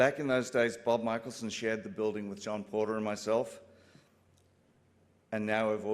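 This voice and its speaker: A man with an Australian accent, fairly low in pitch, at a moderate pace with fairly even intonation. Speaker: broadcast engineer, company co-founder. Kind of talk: acceptance speech. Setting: stage with audience.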